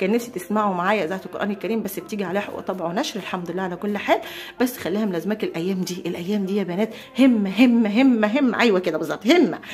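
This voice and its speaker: A woman with an Egyptian accent talks very fast in an animated tone, her medium pitch moving with ordinary variation over noticeable background noise. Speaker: homemaking vlogger. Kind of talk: casual vlog chat.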